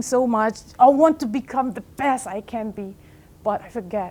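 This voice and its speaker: Delivered at a fairly slow pace, the speech shows ordinary pitch variation. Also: woman. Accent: non-native. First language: not English. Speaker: life coach. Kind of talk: motivational talk. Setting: stage with audience.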